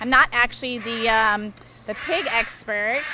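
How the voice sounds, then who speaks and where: Against noticeable background noise, a woman speaks with a fairly high pitch and ordinary pitch variation. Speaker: big cat sanctuary staff, family member of owners. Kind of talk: casual interview on a tour.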